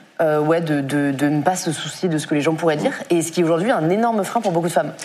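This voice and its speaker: A fairly low-pitched woman's voice comes through audible room echo and noticeable background noise. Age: 20s. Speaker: content creator and author. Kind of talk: live stream panel discussion. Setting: studio.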